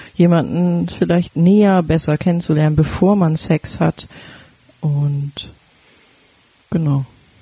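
A woman with a fairly low pitch speaks at a very slow pace, leaving long, frequent pauses. Her intonation is fairly even, her loudness very even, and noticeable background noise is present. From Berlin. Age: 30s. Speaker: sex educator and podcast co-host. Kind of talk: casual chat.

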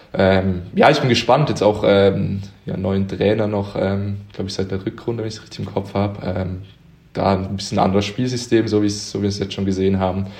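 A man with a fairly low pitch speaks at a fairly quick pace with fairly even intonation. Room echo is audible, and background noise is noticeable. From Switzerland, near Zurich (Uster). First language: Swiss German (speaking German). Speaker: handball player. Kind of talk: podcast interview. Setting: at home. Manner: hesitant, many fillers.

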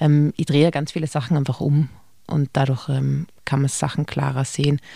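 Her voice is very deep and low with a dark, mellow tone and vocal fry, and this woman keeps a monotone, flat intonation. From Austria, Tyrol. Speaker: cabaret comedian. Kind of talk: casual interview.

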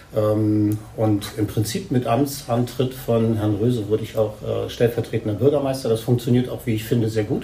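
Medium-pitched man with a monotone, flat intonation over noticeable background noise. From Hildesheim, Lower Saxony. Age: 50s. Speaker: politics lecturer and mayoral candidate. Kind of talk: interview. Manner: halting.

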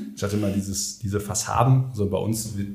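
A man talks at a fairly quick pace in a fairly low, somewhat breathy voice with monotone, flat intonation. Audible room echo surrounds him. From Ruhr area, Germany. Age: 30s. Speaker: construction business founder. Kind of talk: podcast interview.

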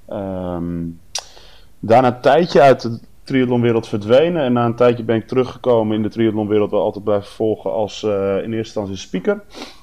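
A plain, everyday voice moves at a fairly quick pace. Its pitch varies in an ordinary way. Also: man, medium pitch for a man. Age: 30s. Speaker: race announcer, event organizer. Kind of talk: casual chat.

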